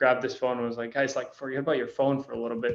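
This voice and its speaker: Here a man of medium pitch talks with a Spanish accent. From Costa Rica. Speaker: spirits brand founder. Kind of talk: interview. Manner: casual.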